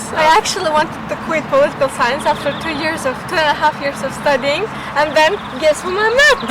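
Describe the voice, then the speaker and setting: Over noticeable background noise, a woman talks fairly quickly in a high voice with ordinary pitch variation. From Uzbekistan. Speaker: political science student. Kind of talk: casual chat. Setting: outdoors.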